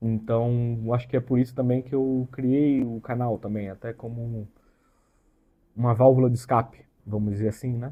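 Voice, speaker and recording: A man's medium-pitched, flat, monotone voice at a moderate pace. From interior of São Paulo state, Brazil (Catanduva). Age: 30s. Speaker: YouTuber, computer engineer. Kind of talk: casual vlog introduction. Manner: hesitant, filler-heavy casual speech.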